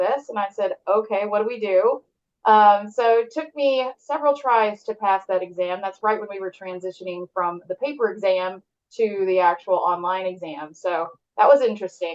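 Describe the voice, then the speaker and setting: Here a woman speaks with a Texan accent. Her pitch is medium and her pace moderate. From southern Texas. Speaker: real estate agent. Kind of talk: interview.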